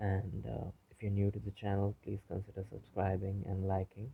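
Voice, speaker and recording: A soft-spoken man with an American accent, fairly low in pitch, somewhat breathy, dark and mellow in tone, flat and monotone in intonation, at a moderate pace. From India, grew up partly in Africa. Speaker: YouTuber. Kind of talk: vlog monologue. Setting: home recording. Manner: soft-spoken, low volume; halting, many fillers.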